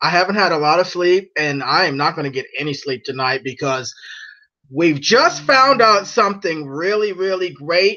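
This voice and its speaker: A man's high voice with a bright, sharp tone, an animated tone, lively intonation and a moderate pace. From immigrant, grew up abroad. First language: not English. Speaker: livestream host, ex-Jehovah's Witness activist. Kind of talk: live stream monologue.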